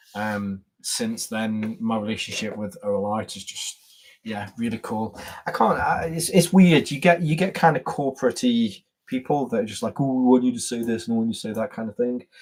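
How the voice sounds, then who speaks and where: A man speaks in an English Midlands accent at medium pitch. His intonation is lively. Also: moderate pace. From England, Staffordshire. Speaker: YouTuber, gear reviewer. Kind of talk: casual live-stream chat. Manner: halting, repeats words.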